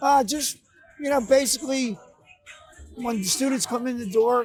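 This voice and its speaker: A man with a Philadelphia accent talks at a fairly quick pace, with ordinary pitch variation. Music plays in the background. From Philadelphia, US. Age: 60s. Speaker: security guard. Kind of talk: interview. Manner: halting.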